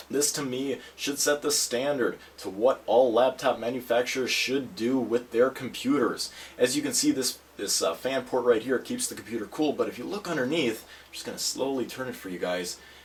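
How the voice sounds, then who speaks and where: With noticeable background noise, a man speaks at a moderate pace and medium pitch with hardly any pauses. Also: ordinary pitch variation. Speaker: tech reviewer. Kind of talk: product review video. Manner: casual, conversational with fillers.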